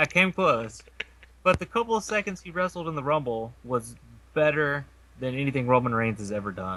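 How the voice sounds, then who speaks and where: A man with a Kentucky accent speaks at a fairly high pitch. His voice makes very wide pitch swings and big swings in loudness. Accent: Kentucky drawl. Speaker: podcast co-host. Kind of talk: casual chat.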